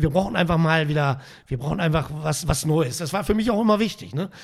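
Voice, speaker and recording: This man's voice sits fairly high in pitch. The recording is very clean, with a silent background. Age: 60s. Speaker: handball youth coach. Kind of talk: casual interview. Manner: repeats words, hesitant.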